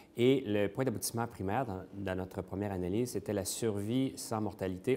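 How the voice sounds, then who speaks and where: In a Quebec accent, a man talks at a fairly quick pace with fairly even intonation and a dark, mellow tone. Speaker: interventional cardiologist. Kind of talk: conference talk. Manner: hesitant, many fillers.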